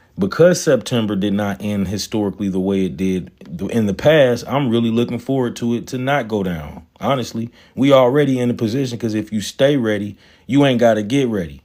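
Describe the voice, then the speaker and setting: A man with an American accent speaks at a medium pitch and a fairly quick pace, with ordinary pitch variation and a dark, mellow tone. The recording is very clean, with a silent background. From US South, Atlanta. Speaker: stock trading livestreamer. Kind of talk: casual livestream talk. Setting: live stream. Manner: animated.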